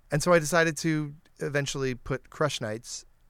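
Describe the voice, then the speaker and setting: In a very clean recording with a silent background, a man with an American accent talks at a fairly slow pace. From US Midwest, suburban Detroit. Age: 40s. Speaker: founder and host of a live storytelling show. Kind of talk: casual interview. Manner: halting, many fillers.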